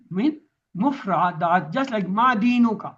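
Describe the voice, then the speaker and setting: Speaking at a fairly slow pace with a Pakistani accent, a man uses a high pitch and lively intonation. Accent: South Asian (Pakistani) English. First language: Urdu. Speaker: Quran teacher. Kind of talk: lecture.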